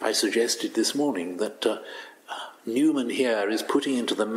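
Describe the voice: The voice is plain reading aloud. It is simply read out.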